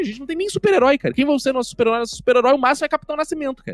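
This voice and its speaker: A man talks at a very fast pace in a Rio de Janeiro accent. The sound is dry and close, with no echo. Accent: Carioca Brazilian Portuguese. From Rio de Janeiro, Brazil. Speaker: comedy writer. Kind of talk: casual chat.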